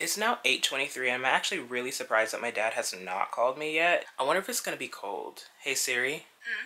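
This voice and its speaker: Here a man with an American accent talks at a fairly quick pace. He leaves hardly any pauses. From US South, Georgia. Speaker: lifestyle vlogger. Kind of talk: vlog. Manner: casual, animated. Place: home room. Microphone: phone near.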